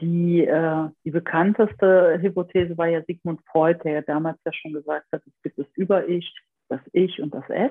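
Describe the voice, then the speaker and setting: With a normal speaking voice, this woman talks at a fairly low pitch and with fairly even intonation. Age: 40s. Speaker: family therapist and trauma education lecturer. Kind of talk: interview; guided exercise.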